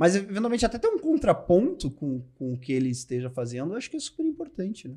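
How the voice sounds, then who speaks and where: A man's high voice at a very fast pace, with very wide pitch swings and hardly any pauses. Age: 40s. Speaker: financial advisor. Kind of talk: interview.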